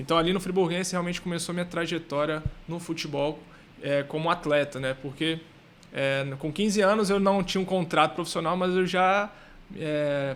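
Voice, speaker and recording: A high-pitched man at a moderate pace with fairly even intonation. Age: 30s. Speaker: footballer and financial educator. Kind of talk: podcast interview.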